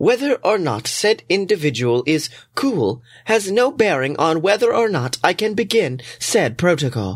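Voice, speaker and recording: In a put-on character voice, a man sounds robotic and calm, high-pitched with very wide pitch swings, at a moderate pace. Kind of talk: comic audio drama. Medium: audio drama. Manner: calm, formal, literal-minded.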